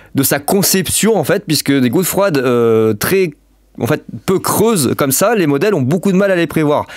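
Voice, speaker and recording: A man speaks at a moderate pace with a fairly high pitch, lively intonation and very even loudness. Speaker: weather forecaster youtuber. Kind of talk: weather forecast commentary. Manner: hesitant, many fillers.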